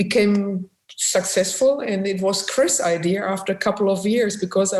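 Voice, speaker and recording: Here a woman speaks with a German accent. Her pitch is medium. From Germany, Essen (industrial Ruhr area). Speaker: musician and photographer, former businesswoman. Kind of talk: interview. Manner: halting.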